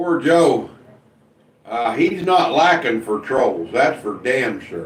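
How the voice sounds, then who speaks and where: A man is talking. Audible room echo surrounds his voice. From US Midwest (Indiana). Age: 60s. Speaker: live streamer. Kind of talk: casual chat. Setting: live stream reading chat.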